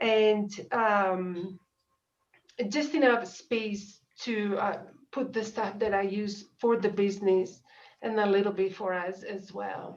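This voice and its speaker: The speaker has an Italian accent and fairly even intonation. The pace is very slow. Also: woman, medium pitch for a woman. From Italy, Dolomites. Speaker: small business owner. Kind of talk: public meeting request. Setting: video call. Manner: halting.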